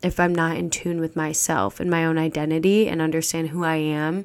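On a very clean recording with a silent background, a woman with an American accent and fairly low pitch speaks at a moderate pace. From US Midwest, Chicago suburbs. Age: 20s. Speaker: podcast host. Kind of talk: solo podcast introduction monologue.

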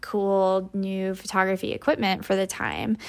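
At a moderate pace, a woman talks at a medium pitch. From US Midwest, rural northwest Iowa. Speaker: fine art photographer. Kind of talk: interview.

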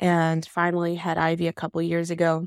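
Someone speaks with an American accent at a moderate pace. The recording is very clean and dry, with a silent background and a close sound with no echo. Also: woman. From US South, Decatur, Alabama. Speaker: podcast host, product design manager. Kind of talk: casual monologue. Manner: casual, filler-heavy.

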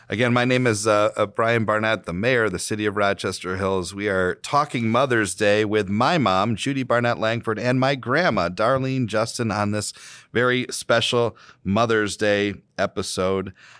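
A man with an American accent talks in a normal speaking voice at a moderate pace. His pitch is fairly low with ordinary variation, on a very clean recording with a silent background. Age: 30s. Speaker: mayor and podcast host. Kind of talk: casual family interview.

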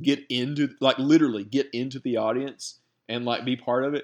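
A man with a Southern US accent at a fairly quick pace, against a quiet background. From rural Alabama. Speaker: podcast co-host. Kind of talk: casual chat.

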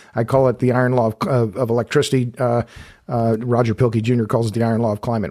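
A man at medium pitch and a fairly quick pace, a normal speaking voice. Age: 60s. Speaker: energy writer and podcast host. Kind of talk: casual interview.

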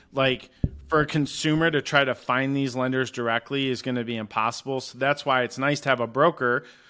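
With an American accent, a man speaks at a fairly quick pace in a medium pitch and monotone, flat intonation. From Michigan, US Midwest. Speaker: mortgage broker. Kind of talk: interview.

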